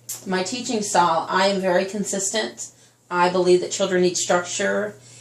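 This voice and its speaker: Noticeable background noise sits behind a woman speaking at a moderate pace. Her pitch is medium, with ordinary variation. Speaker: teacher, job interviewee. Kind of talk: mock job interview. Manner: loud.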